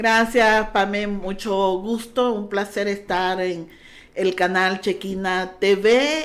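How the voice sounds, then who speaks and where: This woman speaks with a Honduran accent. Her pitch is medium and her intonation fairly even. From Honduras. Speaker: pastor. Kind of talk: testimony.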